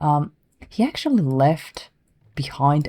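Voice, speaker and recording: Soft-spoken delivery at a very slow pace. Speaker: gamer. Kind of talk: quiet let's play commentary. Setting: home recording with better mic.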